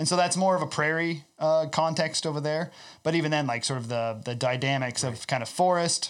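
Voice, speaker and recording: A man with a Midwestern US accent, fairly quick delivery, and ordinary pitch variation. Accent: US Midwest. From Iowa, US Midwest. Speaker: ecological farmer. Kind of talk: casual chat.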